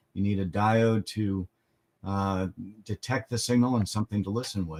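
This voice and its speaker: A man with a plain, everyday voice, fairly low pitch, fairly even intonation and moderate pace, in a dry, close recording with no echo. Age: 60s. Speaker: amateur radio trainer. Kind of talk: tutorial. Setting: pre-recorded segment.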